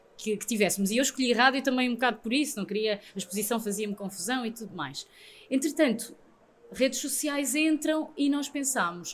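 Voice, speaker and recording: With lively intonation, a woman speaks at a fairly quick pace and a high pitch. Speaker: radio presenter. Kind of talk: interview answer.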